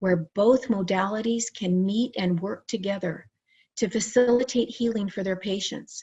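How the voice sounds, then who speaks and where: Her voice somewhat breathy, a woman talks at a fairly slow pace. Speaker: licensed psychotherapist and near-death experiencer. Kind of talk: conference presentation.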